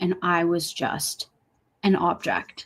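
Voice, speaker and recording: This is a woman with a medium-pitched voice. The recording is very clean and the background silent. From US Pacific Northwest, Seattle. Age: 20s. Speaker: singer and actress. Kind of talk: interview testimony.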